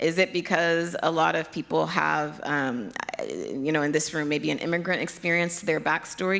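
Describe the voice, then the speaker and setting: With an American accent, a woman talks at a fairly low pitch. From Nigeria, with childhood years in the US. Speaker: pediatric hematologist. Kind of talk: keynote Q&A answers.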